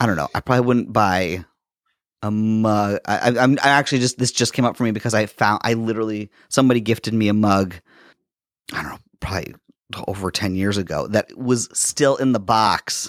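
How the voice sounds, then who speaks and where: A man with a plain, everyday voice speaks at a fairly quick pace, his pitch fairly low and his intonation fairly even, in a dry, close sound with no echo on a very clean recording with a silent background. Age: 30s. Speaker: podcast co-host. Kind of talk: casual chat.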